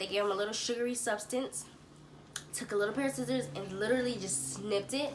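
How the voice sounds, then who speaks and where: A woman's fairly high voice with ordinary pitch variation, noticeable background noise and audible room echo. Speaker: parenting vlogger. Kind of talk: casual vlog talk. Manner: casual, chatty.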